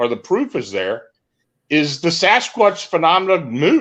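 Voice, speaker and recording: A high-pitched male voice against a quiet background. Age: 60s. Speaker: paranormal radio host. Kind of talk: interview discussion. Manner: halting.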